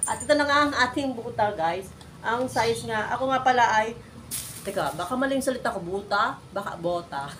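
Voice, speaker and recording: With noticeable background noise and audible room echo, a woman talks in an animated tone at a fairly quick pace, her fairly high pitch carried by lively intonation. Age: old. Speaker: vlogger. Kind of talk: unboxing vlog. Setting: at home.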